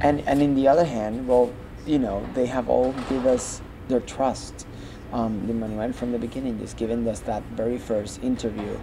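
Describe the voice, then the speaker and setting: Noticeable background noise sits behind a man talking at a moderate pace. His pitch is medium and his intonation fairly even. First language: Spanish. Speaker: Broadway performer and arts organization founder. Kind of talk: interview. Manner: halting, frequent repetitions.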